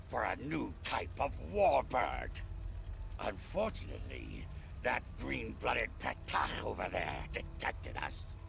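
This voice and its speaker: A man's put-on character voice at a fairly slow pace, amid loud background noise. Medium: video game. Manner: gruff, boastful.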